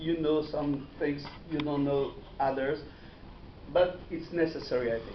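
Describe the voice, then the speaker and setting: Amid noticeable background noise and audible room echo, a man with a fairly high voice speaks at a moderate pace with fairly even intonation. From Morocco, Meknes. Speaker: dental surgeon lecturer. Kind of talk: lecture. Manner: halting, many hesitations.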